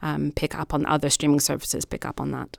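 A woman talks at a very fast pace with vocal fry. Her pitch is very deep and low. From Nigeria. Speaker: policy associate and guest panelist. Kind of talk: panel discussion.

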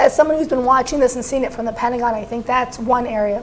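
A woman's high-pitched speech is accompanied by noticeable background noise. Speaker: national security correspondent. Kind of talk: panel discussion.

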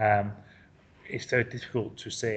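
A man with an English accent speaks at a medium pitch, somewhat breathy. His intonation stays monotone and flat. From England. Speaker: football writer. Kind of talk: interview. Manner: halting.

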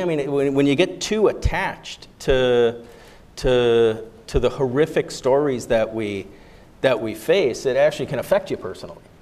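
A man with an American accent has a fairly high pitch and a dark, mellow tone. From United States. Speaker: humanitarian stabilization official. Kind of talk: panel discussion.

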